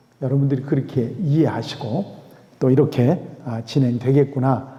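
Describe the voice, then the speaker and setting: A man of medium pitch speaks at a moderate pace, with audible room echo. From South Korea. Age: 60s. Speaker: pastor and lecturer. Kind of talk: lecture. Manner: halting, with many fillers.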